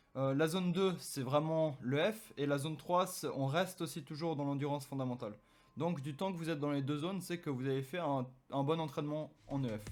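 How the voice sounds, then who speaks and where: On a very clean recording with a silent background, a man with an ordinary speaking voice and a fairly high pitch talks at a fairly quick pace with ordinary pitch variation. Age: 20s. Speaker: fitness YouTuber, sports nutritionist. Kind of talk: tutorial.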